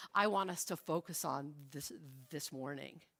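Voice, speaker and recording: A woman is speaking here. Her tone is bright and sharp. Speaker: pastor. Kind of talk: sermon.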